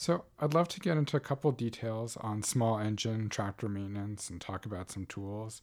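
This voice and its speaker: On a very clean recording with a silent background, a man with an American accent speaks at a medium pitch and moderate pace with lively intonation. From New York City. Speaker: podcast host and field botanist. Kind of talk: scripted narration; casual interview.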